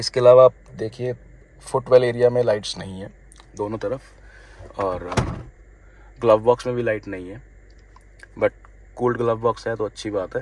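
A man speaks at a moderate pace with long, frequent pauses. His fairly low voice has a slightly mellow tone and fairly even intonation.

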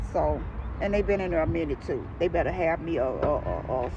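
A woman is heard in a dry recording with no echo, though noticeable background noise comes through. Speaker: vlogger. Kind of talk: casual vlog chat. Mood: cheerful, laughing. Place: car. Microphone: phone near.

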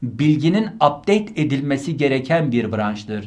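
Very wide pitch swings mark this man's fairly high voice. He speaks at a very slow pace, somewhat breathy. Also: quiet background. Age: 40s. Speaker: university rector and medical professor; medical professor. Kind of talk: online lecture. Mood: earnest, admonishing. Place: studio. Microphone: studio mic.

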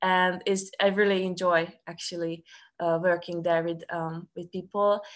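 A woman speaks with a fairly low pitch at a fairly slow pace. Her intonation is flat and monotone. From Serbia, Subotica; Serbia. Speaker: student ministry staff worker. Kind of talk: testimony. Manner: halting. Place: home room. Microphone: video call.

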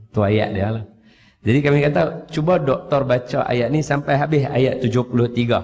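A man speaks in a medium pitch. His voice is somewhat breathy. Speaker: Quran teacher. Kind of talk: religious talk with storytelling. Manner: casual conversational.

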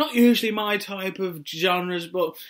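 A woman with a British accent over a quiet background. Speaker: music reviewer. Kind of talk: album review talk to camera. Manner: stuttering, repeats phrases. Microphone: webcam.

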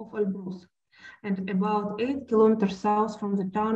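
Against a quiet background, a woman's somewhat breathy voice moves at a moderate pace with flat, monotone intonation. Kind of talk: lecture. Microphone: webcam.

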